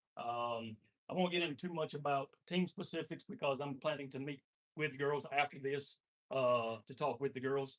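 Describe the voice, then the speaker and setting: Speech comes at a moderate pace with ordinary pitch variation. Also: man, fairly high pitch for a man. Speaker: volleyball coach. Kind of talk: meeting speech. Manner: loud; halting, many fillers.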